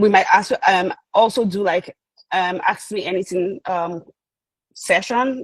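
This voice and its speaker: A woman's medium-pitched voice with ordinary pitch variation, in a dry, close sound with no echo. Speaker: UX designer presenting at a webinar. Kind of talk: webinar presentation. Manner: fast.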